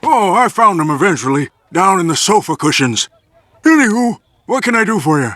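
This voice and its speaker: A man does a cartoonish character voice pitched high. His pace is fairly quick. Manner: rambling, theatrical.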